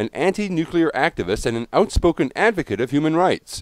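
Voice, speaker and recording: A man speaks at a fairly quick pace in a high voice with very wide pitch swings, the sound dry and close with no echo. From Australia. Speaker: radio show host. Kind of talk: radio show hosting. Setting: radio broadcast.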